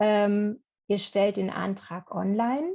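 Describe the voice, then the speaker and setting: A woman's dark, mellow voice at medium pitch against a quiet background. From Berlin, Germany. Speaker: workshop presenter, former German teacher. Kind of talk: online workshop presentation.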